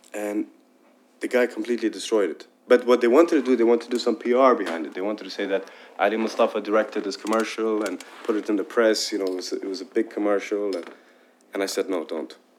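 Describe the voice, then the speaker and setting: Very fast male speech at medium pitch with ordinary pitch variation, over noticeable background noise. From Dubai, UAE. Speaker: film director. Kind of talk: Q and A after screening. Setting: stage with audience.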